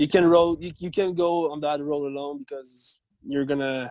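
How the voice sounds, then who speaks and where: With a French Canadian accent, a man talks at a moderate pace with fairly high pitch and fairly even intonation against a quiet background. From Quebec. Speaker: CrossFit athlete. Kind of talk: interview. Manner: halting.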